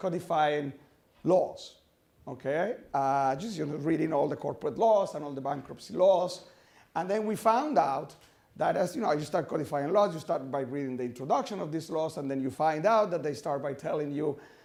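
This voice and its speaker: A man talks at a fairly high pitch with ordinary pitch variation. Room echo is audible. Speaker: finance professor. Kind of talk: academic lecture. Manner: fast; halting, many fillers.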